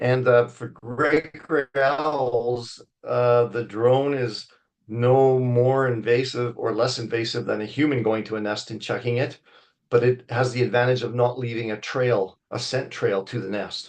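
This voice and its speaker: A man with a Canadian accent has a normal speaking voice at a medium pitch, with fairly even intonation. He speaks at a fairly slow pace against a quiet background. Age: 60s. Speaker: wildlife biologist. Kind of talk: lecture. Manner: conversational, with fillers.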